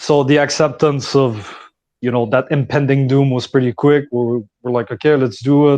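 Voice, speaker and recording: A dark, mellow tone in a Quebec accent, with fairly even intonation at a moderate pace. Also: man, medium pitch for a man. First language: French. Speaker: foreign volunteer fighter. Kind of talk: casual discussion. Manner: halting.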